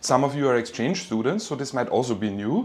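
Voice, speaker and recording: A man of medium pitch with a German accent. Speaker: university lecturer. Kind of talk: lecture. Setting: online class from home. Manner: casual, with fillers and repeats.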